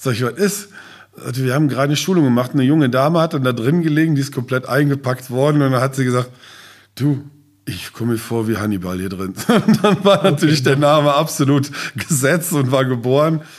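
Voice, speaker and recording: On a very clean recording with a silent background, a man talks very fast in a fairly high pitch with lively intonation. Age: 50s. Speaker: safety trainer and business owner. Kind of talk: casual interview. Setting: on site at training centre.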